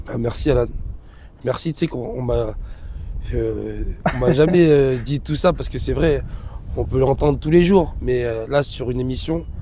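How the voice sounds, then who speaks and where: Audible room echo and noticeable background noise surround a man's voice. He talks at a moderate pace with long, frequent pauses. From Grenoble area, France. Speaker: dance director. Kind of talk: casual interview. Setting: outdoors on hilltop.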